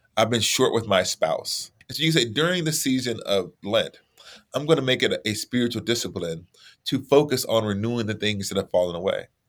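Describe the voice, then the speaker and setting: A man's plain, everyday voice, medium in pitch, with lively intonation and a fairly quick pace. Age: 40s. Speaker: theologian and author. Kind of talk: casual interview conversation.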